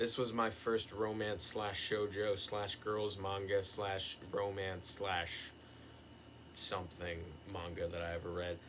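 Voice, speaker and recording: A man speaks very slowly in a fairly low pitch with flat, monotone intonation. Audible room echo surrounds his voice. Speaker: youtuber, manga reviewer. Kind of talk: casual video monologue.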